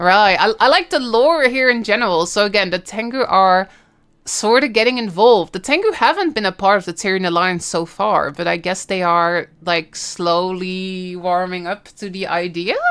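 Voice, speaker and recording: The voice has an animated tone and a Dutch accent, with ordinary pitch variation. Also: woman, medium pitch for a woman, moderate pace, very clean recording, silent background. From Netherlands. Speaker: gaming streamer. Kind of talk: live stream reaction. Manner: casual, animated.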